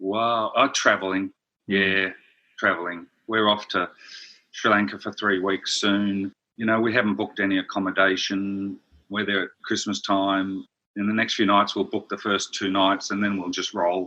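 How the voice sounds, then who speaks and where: With an Australian accent, a man speaks at a fairly low pitch and a moderate pace. His tone is bright and sharp, his intonation monotone and flat. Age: 60s. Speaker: brand strategist. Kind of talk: interview.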